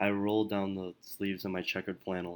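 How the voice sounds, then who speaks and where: A man speaks softly at a fairly quick clip, his very deep, low voice staying flat and monotone throughout. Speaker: student. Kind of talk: narrated personal essay. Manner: soft-spoken; mysterious tone.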